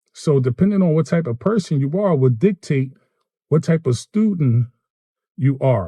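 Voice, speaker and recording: A somewhat breathy man with an American accent, fairly high in pitch, dark and mellow in tone, with lively intonation and a dry, close sound with no echo. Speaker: electrician turned gig worker and vlogger. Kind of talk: casual vlog monologue. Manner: conversational, self-described poor articulation.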